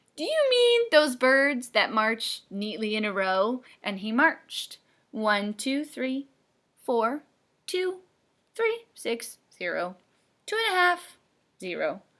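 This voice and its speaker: Loud and high-pitched, a woman uses a put-on character voice at a fairly slow pace with long, frequent pauses. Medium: read story. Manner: loud, hearty.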